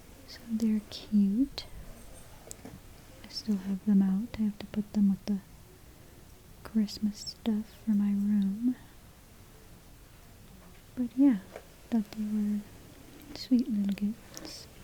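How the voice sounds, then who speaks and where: Soft-spoken and relaxed in tone, a woman talks at a very slow pace and medium pitch with monotone, flat intonation and long, frequent pauses. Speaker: ASMR hair play creator. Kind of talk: soft-spoken ASMR talk to camera. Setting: home environment. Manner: soft-spoken, relaxed, friendly.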